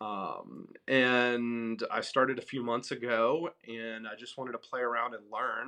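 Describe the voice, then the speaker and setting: With an American accent, a man talks at a fairly slow pace and a medium pitch, his bright, sharp tone held to a monotone, flat intonation while his loudness swings widely and he hardly pauses at all. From US South, Memphis, Tennessee. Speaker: entrepreneur and mentor. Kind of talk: casual interview chat.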